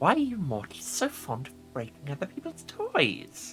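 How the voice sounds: Over clear music in the background, a man uses a breathy, fairly high put-on character voice at a moderate pace, with big swings in loudness.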